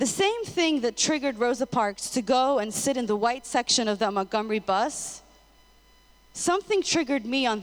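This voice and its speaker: Using an unremarkable speaking voice, a woman with an American accent talks at a moderate pace, her pitch fairly high and her intonation lively. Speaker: public speaker, former marketing professional. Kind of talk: inspirational talk.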